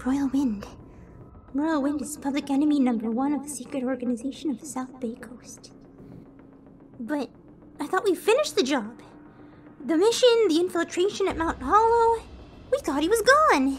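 A put-on character voice, female-sounding and high-pitched, with long, frequent pauses and clear background noise. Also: moderate pace. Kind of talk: audio drama performance.

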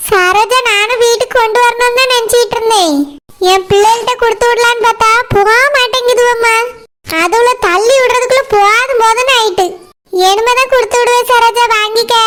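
A woman's cartoonish character voice, extremely high in pitch, fairly slow and with fairly even intonation.

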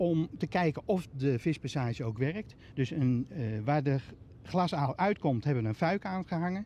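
A man with a fairly high pitch and a dark, mellow tone speaks at a fairly slow pace with lively intonation. The sound is dry with no echo, and there is light background noise. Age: 60s. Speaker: pumping station manager. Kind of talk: on-location TV interview. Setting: on location at a pumping station. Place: waterside. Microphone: handheld.

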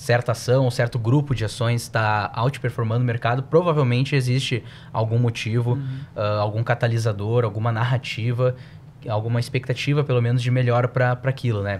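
A man with a southern Brazilian accent speaks at a moderate pace and medium pitch, somewhat breathy, in a monotone, flat intonation. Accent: southern Brazilian Portuguese (uses tu). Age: 20s. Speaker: financial analyst. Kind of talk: podcast interview.

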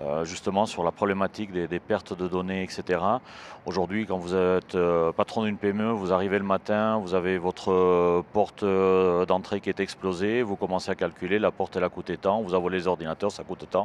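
In a southern French accent, a man with a very deep, low pitch talks with hardly any pauses, in a dry sound with no echo and light background noise. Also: fairly quick pace. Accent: southern French, singsong. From southern France. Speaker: cybersecurity entrepreneur; guest. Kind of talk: interview. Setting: trade show stage. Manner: hesitant, many fillers. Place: hall. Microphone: handheld.

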